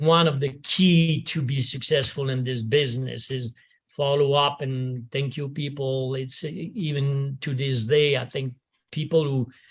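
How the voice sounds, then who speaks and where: A somewhat breathy man with a French accent, fairly high-pitched for a man, at a fairly slow pace with fairly even intonation, on a very clean recording with a silent background. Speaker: golf instructor. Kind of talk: tribute reminiscence. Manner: halting.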